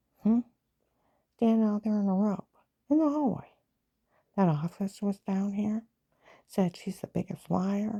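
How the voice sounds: A woman's voice with a dark, mellow tone, a slightly husky edge and vocal fry. The sound is dry and close, with no echo.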